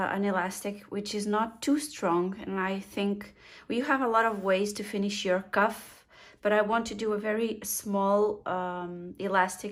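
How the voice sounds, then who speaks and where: Speaking fairly slowly with a non-native accent and fairly even intonation, the voice comes through on a very clean recording with a silent background. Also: woman. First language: not English. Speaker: sewing instructor. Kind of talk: tutorial. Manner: halting, many fillers.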